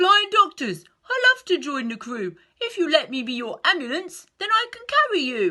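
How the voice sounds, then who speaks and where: An extremely high put-on character voice leaps through very wide pitch swings. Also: moderate pace. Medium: read story.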